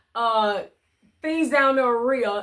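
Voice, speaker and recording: The woman's voice is high and animated. She speaks at a fairly slow pace. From US South, southeast Missouri Bootheel. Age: 60s. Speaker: ministry outreach leader. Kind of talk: testimony.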